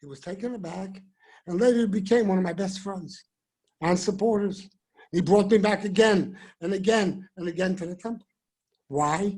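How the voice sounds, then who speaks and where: With a Bronx accent, a man talks in a high pitch at a moderate pace, his loudness swinging widely and his pauses long and frequent. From New York City (the Bronx). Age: 70s. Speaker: rabbi. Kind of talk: speech. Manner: animated.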